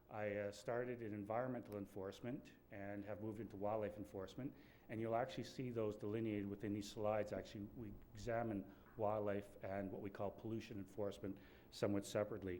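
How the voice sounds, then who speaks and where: In a Canadian accent, the voice runs at a very fast pace with a dark, mellow tone and monotone, flat intonation, and room echo is audible. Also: man, fairly low pitch for a man. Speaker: wildlife enforcement official. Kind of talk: conference presentation. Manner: soft-spoken.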